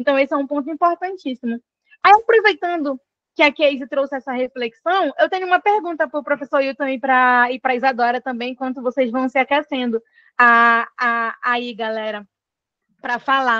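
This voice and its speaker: Against a quiet background, a woman with a high pitch speaks in a raised, projected voice at a moderate pace, her tone bright and sharp, her pitch variation ordinary and the sound dry and close with no echo. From Pará, northern Brazil. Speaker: moderator of an online community panel. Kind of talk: panel discussion moderation. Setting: video call.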